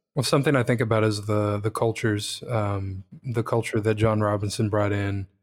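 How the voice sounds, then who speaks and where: In a fairly low pitch, a man talks at a moderate pace. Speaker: podcast co-host. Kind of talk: casual podcast chat.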